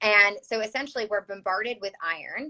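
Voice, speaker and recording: A woman with a Chicago accent, bright and sharp in tone, in a dry, close sound with no echo. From US Midwest, Chicago. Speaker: health practitioner. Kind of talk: interview. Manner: hesitant, many fillers.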